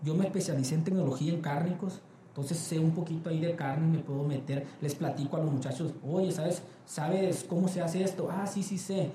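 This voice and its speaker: Audible room echo and noticeable background noise surround the speech. The pace is fairly quick and the intonation fairly even. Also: man, high pitch for a man. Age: 20s. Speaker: quality department head. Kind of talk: interview. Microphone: poor audio quality.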